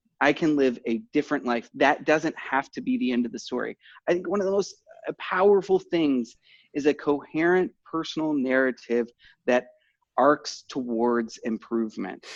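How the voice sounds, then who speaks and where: A man with an American accent, fairly high in pitch, at a moderate pace with lively intonation, in a dry, close sound with no echo. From Texas. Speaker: recovering alcoholic podcast guest. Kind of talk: testimony. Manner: halting, many repeated words and fillers.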